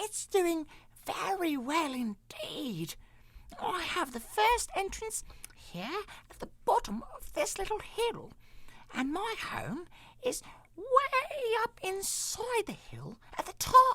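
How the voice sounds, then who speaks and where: In a put-on character voice, a man speaks very slowly at an extremely high pitch. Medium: read story. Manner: polite, formal.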